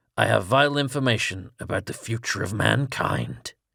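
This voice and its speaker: A raspy, put-on character voice from a man, medium in pitch, at a moderate pace. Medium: read story.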